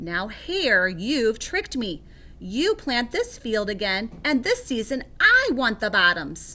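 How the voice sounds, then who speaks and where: A woman puts on a character voice with a fairly high pitch. She speaks at a fairly slow pace. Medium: read story. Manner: slow, drowsy.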